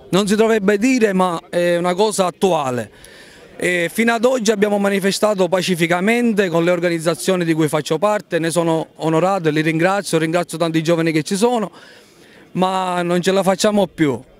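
Amid noticeable background noise, a man with a high pitch talks at a fairly quick pace with ordinary pitch variation. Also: very even loudness. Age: 30s. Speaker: farmer. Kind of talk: street interview.

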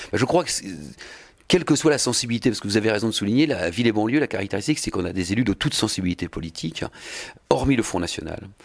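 Against a quiet background, a man talks at a very fast pace. His fairly low pitch rises and falls with lively intonation. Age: 50s. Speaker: mayor. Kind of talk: interview. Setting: mayor's office. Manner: halting, frequent repetitions and hesitations. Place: office. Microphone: handheld.

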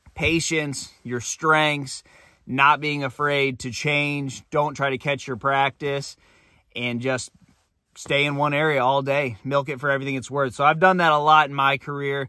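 A man speaks in a monotone with flat intonation and a bright, sharp tone. The sound is dry with no echo, and the background is quiet. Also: fairly slow pace. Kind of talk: casual vlog chat, storytelling. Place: home room. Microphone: phone near.

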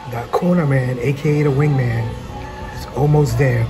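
Clear music plays in the background. A man speaks with fairly even intonation. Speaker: food vlogger. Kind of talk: casual vlog chat. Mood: cheerful, relaxed. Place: cafe. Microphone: phone near.

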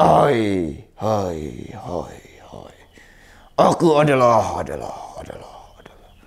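Using a cartoonish character voice, a man speaks very slowly at a fairly low pitch with very wide pitch swings. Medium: puppet. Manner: repeats words like an echo.

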